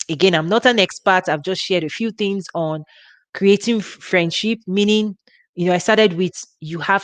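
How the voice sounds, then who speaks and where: A woman's medium-pitched voice with a Nigerian accent, a moderate pace and ordinary pitch variation. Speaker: women's ministry leader. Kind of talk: live workshop talk. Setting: livestream. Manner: informal, relaxed.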